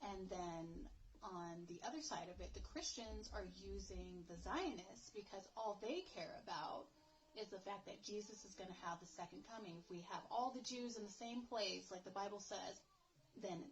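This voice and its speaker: This voice, with an American accent, shows vocal fry, ordinary pitch variation and a moderate pace. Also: woman. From United States. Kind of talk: casual talk to camera. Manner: unrehearsed, emotional.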